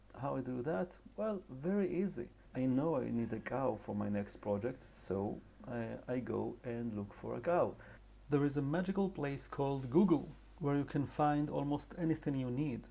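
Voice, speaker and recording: A man with an Israeli accent, medium-pitched and dark, mellow in tone, with lively intonation at a moderate pace. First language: Hebrew. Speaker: animator and character designer. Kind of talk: tutorial.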